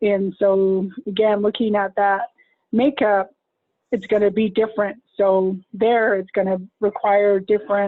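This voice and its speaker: Her delivery is monotone and flat, and the woman keeps her loudness very even throughout. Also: medium pitch for a woman, fairly slow pace. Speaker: behavioral health professional. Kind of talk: webinar presentation answer. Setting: online webinar.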